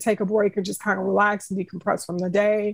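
A woman talks at a fairly quick pace. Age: 40s. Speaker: parent with ADHD. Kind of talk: interview.

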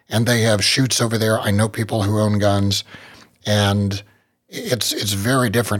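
Speaking at a moderate pace with an American accent, a man has an unremarkable speaking voice, fairly low in pitch, with fairly even intonation. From West Virginia. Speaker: gun rights group director and podcast host. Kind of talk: podcast interview.

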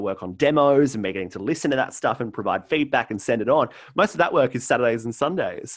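A man with an Australian accent at a fairly quick pace, lively in intonation, against a quiet background. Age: 20s. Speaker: radio host and artist manager. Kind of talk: casual chat.

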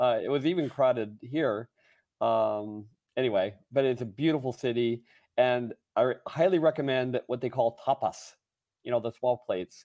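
A plain, everyday voice from a man at medium pitch, moderate pace, and ordinary pitch variation. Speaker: tech company executive. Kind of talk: interview. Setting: remote call from a conference trip.

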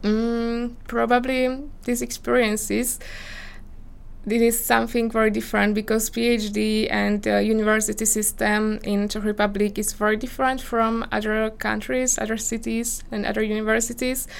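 A woman with a Slovak accent speaks in a fairly high pitch and a flat monotone, with audible echo in the room. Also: moderate pace. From Slovakia, small village. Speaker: PhD candidate in geography. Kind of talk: interview. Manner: hesitant, frequent fillers.

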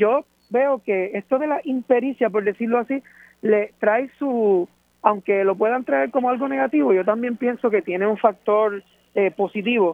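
This man has a high pitch with ordinary pitch variation. He speaks at a moderate pace. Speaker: electoral commissioner. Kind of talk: radio interview.

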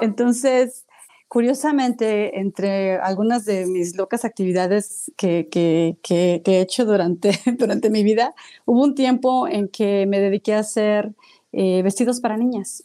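With a dark, mellow tone and very even loudness, a woman speaks at a fairly high pitch and a fairly slow pace. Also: ordinary pitch variation. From Mexico City. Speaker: radio and podcast producer. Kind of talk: interview.

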